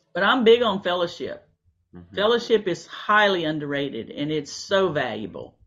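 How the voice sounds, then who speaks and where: A woman's medium-pitched voice with vocal fry and very wide pitch swings, at a moderate pace. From Louisiana. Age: 60s. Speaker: naturopathic doctor. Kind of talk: casual interview chat. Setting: video call.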